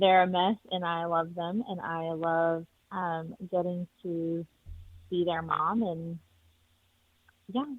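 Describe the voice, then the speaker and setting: Very slowly and with long, frequent pauses, a woman with a slight Texas accent talks at a fairly low pitch with fairly even intonation. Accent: little Texas twang. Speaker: parent guest. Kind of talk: podcast interview.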